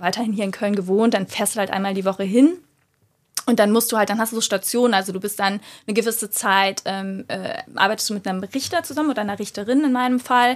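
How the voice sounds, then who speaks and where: In a very clean recording with a silent background, a woman with a fairly high voice talks at a very fast pace with ordinary pitch variation. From Germany, Cologne. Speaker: yoga teacher and lawyer. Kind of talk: interview.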